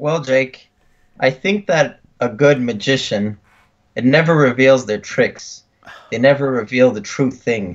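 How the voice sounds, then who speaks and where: A man speaks at a fairly slow pace with a slight French Canadian accent, a medium pitch, ordinary pitch variation, and long, frequent pauses. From Quebec, Canada. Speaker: podcast co-host. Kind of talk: casual chat.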